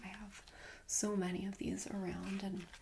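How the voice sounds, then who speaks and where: A woman speaks softly. Her pace is fairly slow. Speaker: ASMR creator. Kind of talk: ASMR roleplay, friendly show-and-tell about plants. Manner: soft-spoken, friendly, rambling.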